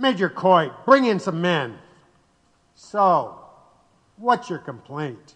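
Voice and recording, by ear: A man uses a put-on character voice, high-pitched with big pitch swings. His tone is fairly bright and his pace slow.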